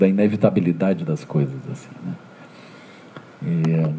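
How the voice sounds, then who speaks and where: Lively intonation over noticeable background noise. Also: man. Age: 60s. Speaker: Buddhist teacher. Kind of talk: dharma talk. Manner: halting, frequent fillers.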